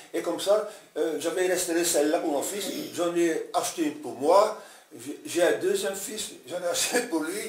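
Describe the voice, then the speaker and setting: A man with a high voice speaks at a moderate pace with ordinary pitch variation, amid noticeable background noise and audible room echo. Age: 70s. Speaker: classic car restorer. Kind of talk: casual interview. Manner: halting, many hesitations.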